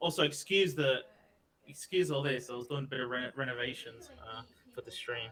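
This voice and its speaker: Talking at a fairly quick pace, a man with an Australian accent uses a medium pitch, ordinary pitch variation and big swings in loudness. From Australia, Melbourne. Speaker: streamer. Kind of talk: casual interview chat. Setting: live stream video call.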